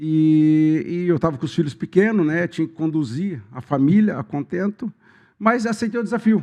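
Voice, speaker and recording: Fairly high-pitched for a man, this voice has a dark, mellow tone and lively intonation. He speaks at a moderate pace against a quiet background. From Ribeirão Preto region, São Paulo state, Brazil. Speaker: rural union president, cooperative candidate. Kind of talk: podcast interview. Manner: halting.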